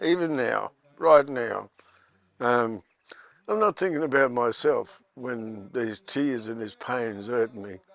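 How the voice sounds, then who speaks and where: With big swings in loudness, a medium-pitched man speaks at a very slow pace and with ordinary pitch variation. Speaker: Stolen Generations survivor. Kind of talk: testimony.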